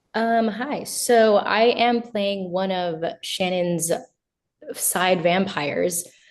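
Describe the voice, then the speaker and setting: A woman at a medium pitch and very slow pace, ordinary pitch variation, with audible room echo. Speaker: stage actor. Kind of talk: interview. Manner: hesitant, many fillers.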